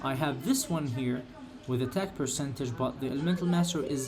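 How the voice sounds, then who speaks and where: A man with a non-native accent speaks at medium pitch and a moderate pace with ordinary pitch variation, with noticeable background noise and audible room echo. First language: not English. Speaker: gaming streamer. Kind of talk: live gameplay commentary. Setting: live stream. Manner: halting, many fillers.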